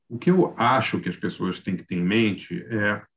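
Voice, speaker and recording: A man with a normal speaking voice, fairly low pitch and a fairly slow pace. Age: 50s. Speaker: journalist and film critic. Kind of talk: casual chat.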